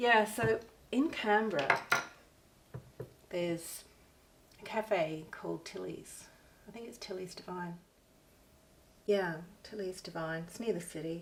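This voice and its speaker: A woman with an Australian accent talks slowly at a medium pitch, with ordinary pitch variation and big swings in loudness. She takes long, frequent pauses, and noticeable background noise is present. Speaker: artist and craft vlogger. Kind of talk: casual craft tutorial chat. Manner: raising voice above usual; hesitant with fillers.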